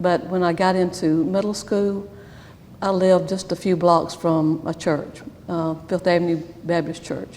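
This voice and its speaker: Amid noticeable background noise and audible room echo, a woman with a Southern US accent talks fairly slowly in a fairly low pitch, her intonation flat and monotone. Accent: Southern US (Georgia). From US South, Rome, Georgia. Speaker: church member interviewee. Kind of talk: oral history interview. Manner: halting, with fillers.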